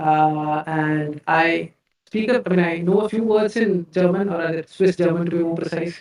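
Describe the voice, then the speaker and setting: A man with a Keralan accent, high pitch, fairly even intonation and a moderate pace. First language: Malayalam. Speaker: tech company CEO. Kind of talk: live-stream Q&A interview. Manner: halting, repeats words.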